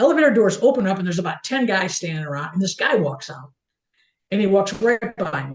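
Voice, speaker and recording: Somewhat breathy and medium in pitch, a woman talks at a fairly quick pace with lively intonation. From small-town US. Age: 60s. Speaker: photographer. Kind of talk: casual interview. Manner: halting, many repetitions.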